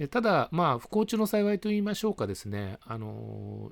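The recording is very clean, and the background is silent. A man's pitch swings very widely as he talks fairly quickly. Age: 50s. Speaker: early retiree sharing life updates. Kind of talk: monologue video update. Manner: polite, many fillers.

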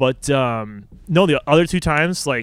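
In a very clean recording with a silent background, a man with a fairly high pitch talks in an unremarkable speaking voice. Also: dry, close sound with no echo. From Chicago suburbs, Illinois. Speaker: podcast guest, PhD researcher. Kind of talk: casual chat.

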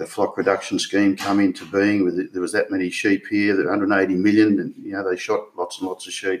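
At a moderate pace, a man speaks with a strong Australian accent. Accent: broad Australian. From rural Victoria, Australia. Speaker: retired stock agent and businessman. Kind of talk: interview. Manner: halting.

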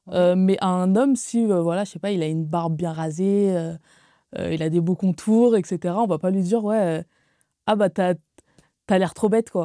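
In a very clean recording with a silent background and a dry, close sound with no echo, a woman speaks at a fairly slow pace in a dark, mellow tone, her intonation fairly even and her pauses long and frequent. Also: medium pitch for a woman. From Paris suburbs, Créteil. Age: 20s. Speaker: communications officer. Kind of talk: casual chat.

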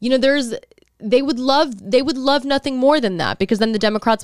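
A woman with an American accent talks at a very fast pace in a fairly high voice. Her pitch varies in an ordinary way, and the recording is very clean with a silent background. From Texas. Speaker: podcast co-host. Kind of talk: casual chat.

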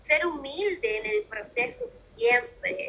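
A raised, projected female voice with a bright, sharp tone and very wide pitch swings. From Peru. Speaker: mentor and life coach, podcaster. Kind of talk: casual interview chat.

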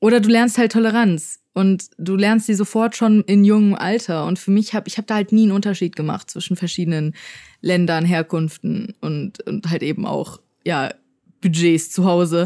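On a very clean recording with a silent background, a woman with a dark, mellow tone speaks at medium pitch and a moderate pace. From Germany, Frankfurt. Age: 20s. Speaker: podcast co-host, YouTuber. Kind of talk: casual chat. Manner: animated.

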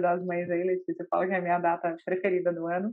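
A woman talks fairly quickly, her pitch landing in the medium range. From Brazil, Belo Horizonte. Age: 30s. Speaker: lawyer and health startup executive. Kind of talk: podcast interview.

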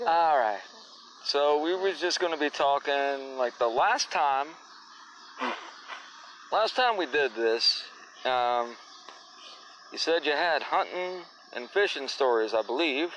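A man's fairly high-pitched voice with a fairly bright tone and lively intonation, slow-paced with long, frequent pauses

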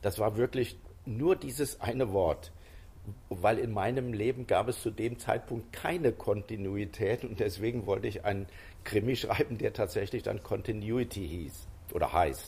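A somewhat breathy voice in a very clean recording with a silent background. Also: man, medium pitch for a man, ordinary pitch variation, moderate pace. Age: 70s. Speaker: author. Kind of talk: interview. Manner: hesitant, with frequent fillers.

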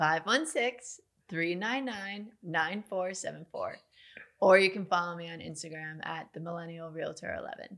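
A woman speaks at a moderate pace in a plain, everyday voice. Her pitch is medium, with ordinary variation. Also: big swings in loudness. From Long Island, New York. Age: 20s. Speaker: real estate agent. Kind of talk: casual interview.

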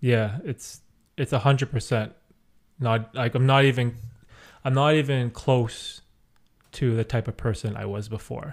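A man at medium pitch and moderate pace, somewhat breathy, with fairly even intonation and long, frequent pauses, in a very clean recording with a silent background. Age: 30s. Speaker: podcast host and youtuber. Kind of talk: casual chat.

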